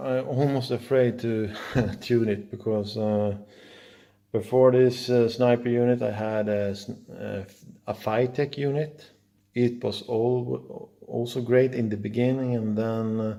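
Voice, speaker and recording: Speaking with a Swedish accent, a man with a medium pitch and a dark, mellow tone talks at a fairly slow pace in a flat monotone. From Sweden. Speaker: car hobbyist. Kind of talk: casual video walkthrough. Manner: halting, many fillers.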